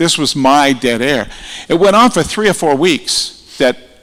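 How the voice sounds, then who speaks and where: Using a normal speaking voice, a man talks at a moderate pace, his pitch varying in an ordinary way. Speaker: radio broadcaster, hall of fame inductee. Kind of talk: acceptance speech with anecdotes. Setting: award ceremony in an atrium with audience. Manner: conversational storytelling.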